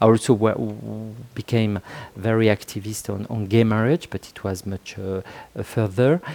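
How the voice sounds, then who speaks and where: A man with a fairly low pitch and a dark, mellow tone talks at a moderate pace with ordinary pitch variation and big swings in loudness, captured in a very clean recording with a silent background and a dry, close sound with no echo. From France. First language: French. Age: 50s. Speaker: author and sociologist. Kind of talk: interview. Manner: halting.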